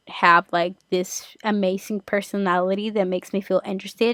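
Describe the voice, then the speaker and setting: A woman speaks at a fairly quick pace with a medium pitch and fairly even intonation. The sound is dry and close, with no echo. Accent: Spanish. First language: Spanish. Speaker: podcast host. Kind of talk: casual chat.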